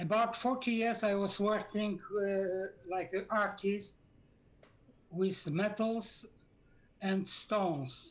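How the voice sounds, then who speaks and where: A woman at medium pitch, very slow, with long and frequent pauses, very even loudness and ordinary pitch variation. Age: 70s. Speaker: professional gamer. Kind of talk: interview answer.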